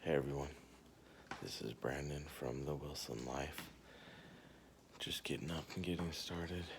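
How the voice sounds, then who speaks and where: A soft-spoken voice with vocal fry moves at a moderate pace with long, frequent pauses and fairly even intonation, with audible room echo. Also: man, very deep, low pitch for a man. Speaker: vlogger, husband and father. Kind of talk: casual vlog narration. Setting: at home early morning, then commuting. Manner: quiet, soft-spoken; hesitant with many fillers.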